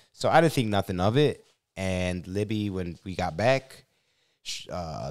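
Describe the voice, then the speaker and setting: At a fairly slow pace, a man with a Chicago accent speaks in an animated tone with ordinary pitch variation, the sound dry with no echo. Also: quiet background. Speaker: YouTube podcast host. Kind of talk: casual chat. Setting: in a car. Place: studio. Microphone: studio mic.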